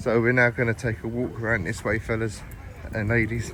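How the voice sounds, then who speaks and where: Medium-pitched male speech amid noticeable background noise. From East London, England. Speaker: travel vlogger. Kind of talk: walking vlog commentary. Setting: outdoors in a park. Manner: casual, repetitive filler speech; fast.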